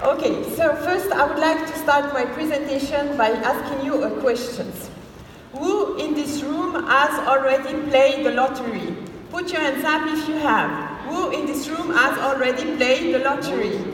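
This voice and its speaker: Speaking with a Swiss French accent, a woman has a high pitch, ordinary pitch variation and a moderate pace, with noticeable background noise and audible room echo. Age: 30s. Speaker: network marketing distributor. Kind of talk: motivational talk. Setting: stage with audience.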